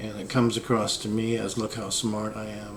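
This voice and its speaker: Fairly low-pitched male voice amid noticeable background noise and audible room echo. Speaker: esoteric philosophy vlogger. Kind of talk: casual monologue. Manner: slow; low energy.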